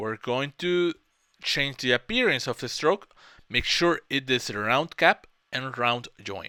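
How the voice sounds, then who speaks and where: A man's bright, sharp voice at medium pitch, with lively intonation and a fairly slow pace, dry and close with no echo, on a very clean recording with a silent background. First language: Spanish. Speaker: software tutorial creator. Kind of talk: tutorial. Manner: halting, with self-corrections.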